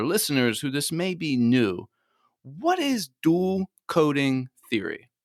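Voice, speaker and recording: With an American accent and a plain, everyday voice, a man talks at a fairly slow pace with lively intonation, on a very clean recording with a silent background and a dry, close sound with no echo. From United States. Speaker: podcast host. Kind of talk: podcast interview.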